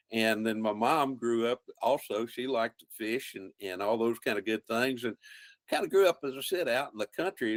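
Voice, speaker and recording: With a Texan accent, a man speaks at a moderate pace in a medium pitch with ordinary variation, the sound dry and close with no echo. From central Texas, German-speaking rural community. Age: 70s. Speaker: wildlife biologist and outdoor TV host. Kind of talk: casual interview.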